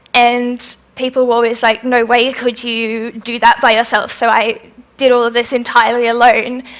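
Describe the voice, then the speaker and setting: A woman talks at a moderate pace in a high voice with monotone, flat intonation. Noticeable background noise runs beneath her. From Australia (Melbourne). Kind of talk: festival talk with audience Q&A.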